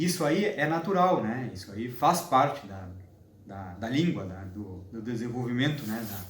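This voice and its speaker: Very wide pitch swings mark this fairly slow delivery. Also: man, medium pitch for a man. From southern Brazil, Uruguay border (Santana do Livramento, RS). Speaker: linguistics doctoral student. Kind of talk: interview. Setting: host's apartment. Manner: halting, many restarts and fillers.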